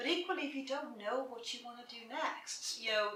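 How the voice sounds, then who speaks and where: In an Irish accent, a woman speaks with ordinary pitch variation and audible room echo. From south of Ireland. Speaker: career coach. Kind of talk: interview.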